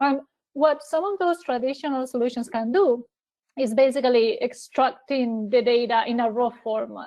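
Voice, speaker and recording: A woman speaks in a high voice with a non-native accent. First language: not English. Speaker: cloud technology specialist. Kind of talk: webinar presentation. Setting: online webinar. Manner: hesitant with fillers and repeated words.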